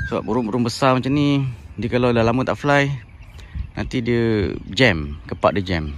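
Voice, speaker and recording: A man at a medium pitch speaks with lively intonation at a moderate pace, with long, frequent pauses, a dry sound with no echo and light background noise. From Malaysia. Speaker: bird keeper, YouTuber; YouTuber. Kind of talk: casual tutorial. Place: open country. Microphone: phone near.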